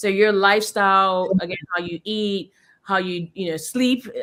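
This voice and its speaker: An unremarkable speaking voice from a woman, medium in pitch, fairly even in intonation, at a moderate pace. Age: 30s. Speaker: genetics scientist. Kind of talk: interview.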